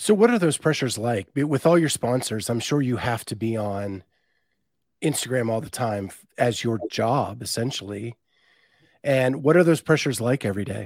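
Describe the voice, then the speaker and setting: The recording is very clean, its background silent. An ordinary speaking voice talks at a moderate pace with ordinary pitch variation. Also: man, medium pitch for a man. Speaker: podcast host. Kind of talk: casual chat. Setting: live stream.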